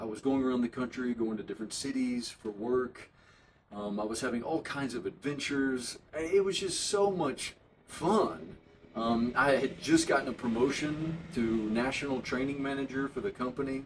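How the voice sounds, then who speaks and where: A man with an American accent and a plain, everyday voice talks at a moderate pace and a medium pitch, using ordinary pitch variation. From US South, Alabama. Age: 40s. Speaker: leather bag maker. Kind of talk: casual personal introduction. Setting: home workshop. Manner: relaxed, with frequent fillers.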